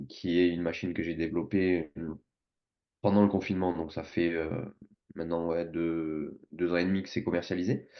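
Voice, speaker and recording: A man speaks at a very deep, low pitch in a monotone, flat intonation. Long, frequent pauses break up his speech. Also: moderate pace. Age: 20s. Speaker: sports performance coach and entrepreneur. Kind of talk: podcast interview. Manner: hesitant, many fillers.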